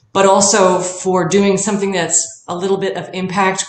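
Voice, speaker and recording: A woman talks at a fairly slow pace with audible room echo. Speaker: fitness or wellness coach. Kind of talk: interview answer. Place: home room. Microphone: webcam.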